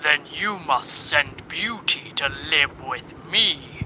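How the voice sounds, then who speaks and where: A man's fairly high put-on character voice at a very slow pace, with clear background noise. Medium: read story.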